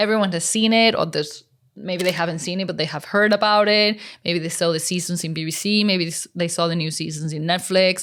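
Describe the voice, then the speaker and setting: Spoken very fast in a Mexican accent, with fairly even intonation. The recording is very clean, the background silent. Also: woman, fairly low pitch for a woman. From Mexico. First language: Spanish. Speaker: unit stills photographer. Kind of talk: interview.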